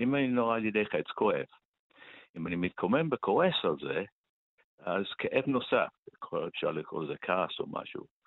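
Speaking at a moderate pace with a non-native accent, a man leaves long, frequent pauses. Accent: foreign accent in Hebrew. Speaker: author of a meditation book. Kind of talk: radio interview.

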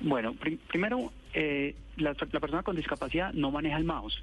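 A man is speaking. His pace is moderate. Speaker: government technology official. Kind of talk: phone interview. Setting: phone call.

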